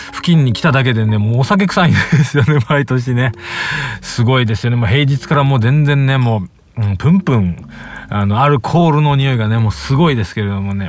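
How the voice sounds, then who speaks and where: Relaxed in tone, a man talks fairly quickly at a medium pitch with lively intonation while music plays in the background. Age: 30s. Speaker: podcast host, music producer. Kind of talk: casual solo monologue. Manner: relaxed, filler-heavy.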